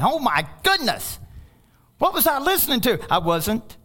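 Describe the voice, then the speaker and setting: With noticeable background noise behind him, a man uses a raised, projected voice at an extremely high pitch with very wide pitch swings. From Kentucky. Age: 50s. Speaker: pastor. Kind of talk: sermon.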